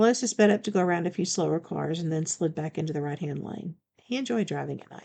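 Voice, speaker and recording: A woman puts on a character voice that is raspy and fairly low in pitch. She speaks at a very fast pace. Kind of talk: audiobook narration. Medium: read story.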